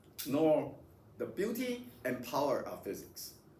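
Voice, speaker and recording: A high-pitched man's voice with very wide pitch swings and a fairly slow pace, in audible room echo. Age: 60s. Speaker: physics professor. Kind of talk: lecture. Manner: halting, many repetitions.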